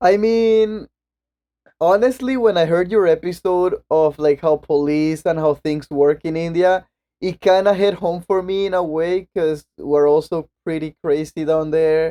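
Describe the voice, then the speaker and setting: A man talks at a fairly slow pace with ordinary pitch variation, his pitch high for a man and his tone dark and mellow. The sound is dry and close, with no echo. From Venezuela. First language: Spanish. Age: 20s. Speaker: podcast guest. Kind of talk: casual chat.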